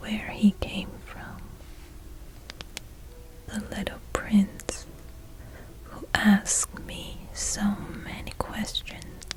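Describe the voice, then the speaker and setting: Over noticeable background noise, a woman whispers in a gentle tone at a very slow pace. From China. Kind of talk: sleep story, bedtime reading. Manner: soft-spoken, slow, gentle.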